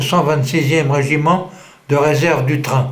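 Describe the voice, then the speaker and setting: Noticeable background noise and audible room echo surround a man with a fairly high pitch. He speaks at a very slow pace with fairly even intonation. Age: 80s+. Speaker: war veteran. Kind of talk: testimony. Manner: halting.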